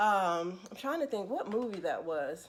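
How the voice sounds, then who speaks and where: An unremarkable speaking voice from a woman at medium pitch, moderate pace and ordinary pitch variation. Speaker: counselor. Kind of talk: casual live stream talk to viewers.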